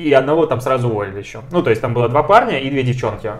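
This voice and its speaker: Over noticeable background noise, a man with medium pitch and ordinary pitch variation talks at a very fast pace. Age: 20s. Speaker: podcast co-host. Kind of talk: casual chat.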